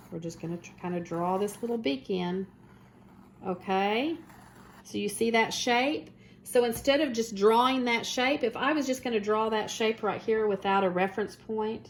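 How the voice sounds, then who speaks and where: At a moderate pace, a woman talks with lively intonation and a fairly high pitch. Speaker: art teacher. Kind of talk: tutorial. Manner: halting.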